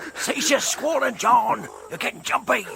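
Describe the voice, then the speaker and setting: Using a put-on character voice, a man talks at a moderate pace with an extremely high pitch over clear background noise. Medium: audio drama.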